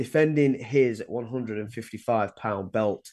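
Against a quiet background, a man with an English accent speaks at a medium pitch and a fairly slow pace with fairly even intonation. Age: 20s. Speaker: sports podcast co-host. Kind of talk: casual chat.

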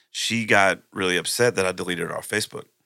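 With a Texan accent, a man talks at a very fast pace in a fairly low pitch and a bright, sharp tone on a very clean recording with a silent background. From Texas, Plum Grove near Houston. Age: 40s. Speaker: country musician. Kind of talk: casual chat. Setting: live-streamed podcast studio.

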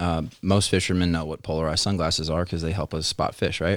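A man with a very deep, low pitch and an American accent, ordinary pitch variation, and a very clean recording with a silent background. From Philadelphia, Pennsylvania. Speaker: outdoor photographer. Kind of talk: casual interview. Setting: studio.

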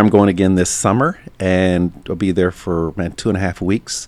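Here a man speaks at a fairly low pitch. His pace is moderate. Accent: American. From Louisiana, US South. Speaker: retired Air Force veteran. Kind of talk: casual interview. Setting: at home during quarantine.

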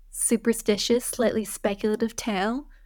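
A woman with a northeastern American accent speaks at a fairly high pitch and a fairly slow pace in a monotone, flat intonation. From US Northeast, Vermont. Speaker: writer. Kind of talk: casual chat.

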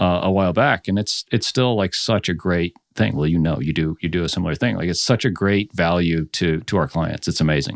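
A man's very deep, low voice in an American accent, fairly quick with hardly any pauses and ordinary pitch variation, dry and close with no echo on a very clean recording against a silent background. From Florida, US. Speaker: podcast company founder and CEO. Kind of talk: casual interview. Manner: relaxed.

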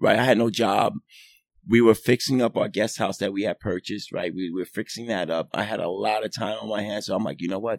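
In a plain, everyday voice with an American accent, a man speaks at a fairly quick pace and fairly low pitch with fairly even intonation, the sound dry and close with no echo. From New York City (Manhattan). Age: 50s. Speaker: swim coach. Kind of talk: casual chat.

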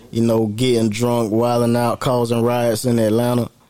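There is noticeable background noise. A man with an American accent speaks in a monotone, flat intonation. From Pennsylvania and North Carolina. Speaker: rapper and producer. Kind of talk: casual chat.

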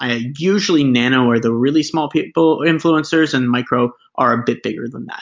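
Here a man uses an unremarkable speaking voice at medium pitch, with fairly even intonation and a moderate pace. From Canada. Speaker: startup founder. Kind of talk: interview.

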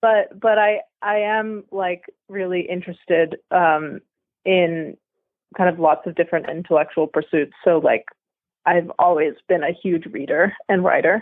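With an American accent, a woman speaks at a fairly low pitch with ordinary pitch variation and long, frequent pauses. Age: 20s. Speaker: event rider and student. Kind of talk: interview.

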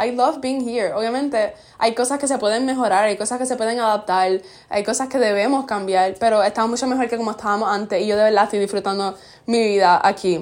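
Very fast speech from a woman, fairly high in pitch, its pitch variation ordinary. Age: young. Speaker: podcast host. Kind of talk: casual chat.

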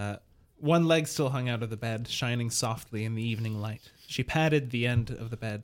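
Ordinary pitch variation shapes this natural reading voice.

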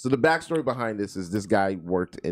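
A man with an American accent speaks fairly quickly at a fairly low pitch, with vocal fry and very wide pitch swings. The recording is very clean, with a silent background. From Florida, US. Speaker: podcast co-host. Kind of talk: casual banter, crude comedy chat.

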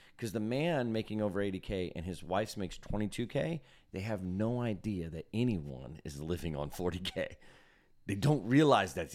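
Lively intonation marks this man's ordinary speaking voice, which sits at a fairly low pitch. He talks at a moderate pace, and the recording is very clean with a silent background. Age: 40s. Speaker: podcast host at a church. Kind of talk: casual chat. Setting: recording in a church.

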